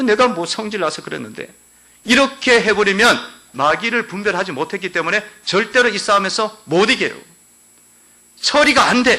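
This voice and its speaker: Raised and projected, a man's high voice comes at a moderate pace with an animated tone, ordinary pitch variation, and long, frequent pauses. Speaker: pastor. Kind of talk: sermon. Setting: church.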